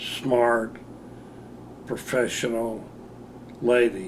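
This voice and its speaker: Speaking at a very slow pace and medium pitch, a man is heard with audible room echo and noticeable background noise. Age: 70s. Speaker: interviewee sharing memories. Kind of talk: recorded personal interview. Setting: on-camera interview. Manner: halting, with many fillers.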